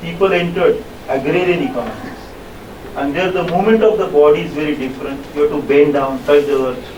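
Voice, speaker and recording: Noticeable background noise and audible room echo surround a man with an Indian accent. He talks at a very fast pace with a fairly high pitch and ordinary pitch variation. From India (Maharashtra/Gujarat). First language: Marathi. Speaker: lecturer. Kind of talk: lecture. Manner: repetitive halting.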